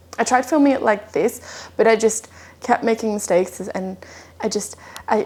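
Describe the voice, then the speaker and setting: A woman talks at a moderate pace with a fairly high pitch and fairly even intonation. Noticeable background noise sits behind her. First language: Dutch. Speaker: yoga teacher. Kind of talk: scripted voiceover; guided yoga class.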